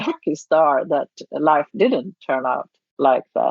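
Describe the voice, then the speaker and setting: A woman speaks in a Swedish accent with a very deep, low pitch. Her pace is very slow. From Sweden. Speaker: charity founder and writer. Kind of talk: interview. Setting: remote recording.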